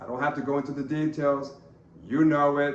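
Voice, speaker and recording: A man talks at a moderate pace with a medium pitch. Noticeable background noise and audible room echo surround his voice. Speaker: political commentator, campaign spokesman. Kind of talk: political commentary. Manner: loud, emphatic.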